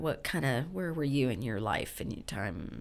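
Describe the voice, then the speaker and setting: A woman with vocal fry talks at a moderate pace on a very clean recording with a silent background. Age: 50s. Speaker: podcast host. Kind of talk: interview.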